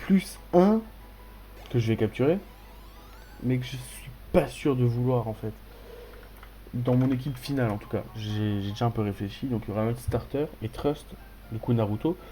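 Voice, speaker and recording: There are long, frequent pauses as a man speaks with ordinary pitch variation. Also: medium pitch for a man, moderate pace. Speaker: gaming youtuber. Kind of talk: let's play commentary. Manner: animated.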